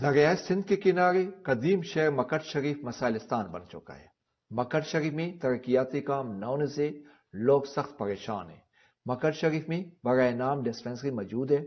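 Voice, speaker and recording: In an ordinary speaking voice, a man with fairly high pitch talks with lively intonation and big swings in loudness. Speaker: news reporter. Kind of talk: TV news report.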